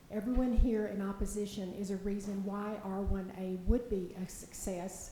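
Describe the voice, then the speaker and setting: At a moderate pace, a woman speaks at medium pitch with monotone, flat intonation amid noticeable background noise. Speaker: public commenter. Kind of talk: public comment at city meeting. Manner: formal.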